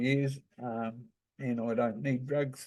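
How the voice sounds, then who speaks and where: In a New Zealand accent, a man speaks at a medium pitch in a dark, mellow tone with fairly even intonation. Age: 70s. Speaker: hemp grower and commentator. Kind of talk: informal talk presentation. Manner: casual, hesitant.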